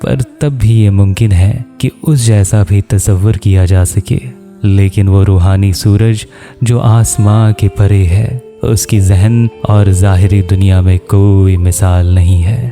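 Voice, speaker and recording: A man's fairly low voice at a very even loudness, with fairly even intonation and music in the background. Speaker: translator and reciter of mystical poetry. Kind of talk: poetry reading with commentary.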